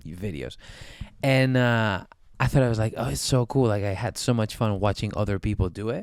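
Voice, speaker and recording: Speaking at a moderate pace, a man with a Spanish accent uses a fairly low pitch and lively intonation. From Spain. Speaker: singer-songwriter. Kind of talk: casual interview. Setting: studio.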